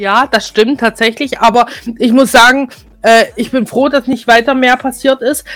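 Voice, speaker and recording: A woman talks in a high-pitched, flat monotone. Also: moderate pace. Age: 20s. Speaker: webradio host and podcaster. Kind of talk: casual chat. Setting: remote call.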